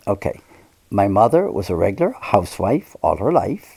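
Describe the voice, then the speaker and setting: A man speaks with an American accent. His pitch swings very widely. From Ireland, Limerick City. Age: 80s+. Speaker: priest. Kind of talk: interview, personal reminiscence. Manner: halting, with self-corrections and repeated words.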